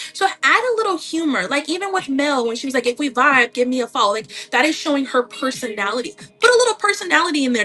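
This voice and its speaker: A woman speaks in a raised, projected voice at a fairly quick pace, her pitch swinging very widely. Music plays in the background. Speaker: online seller coach. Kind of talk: livestream tutorial. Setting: live stream. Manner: casual, chatty.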